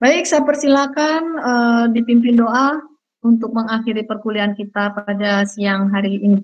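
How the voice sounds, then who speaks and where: This woman has an ordinary speaking voice, and her pitch varies in an ordinary way. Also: fairly high pitch for a woman, moderate pace. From Central Java (Purworejo), Indonesia. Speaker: university lecturer. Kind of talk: online lecture.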